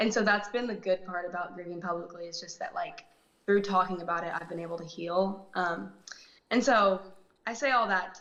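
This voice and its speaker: In an American accent, a woman with an unremarkable speaking voice talks at a fairly quick pace and medium pitch, her intonation fairly even but her loudness swinging widely. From Texas, Dallas. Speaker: actress and singer. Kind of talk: interview. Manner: soft-spoken.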